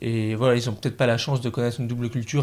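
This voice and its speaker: A man speaks in a medium pitch. His intonation is fairly even. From northern France, Picardy (Oise). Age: 20s. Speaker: business student. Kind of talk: casual chat. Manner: halting.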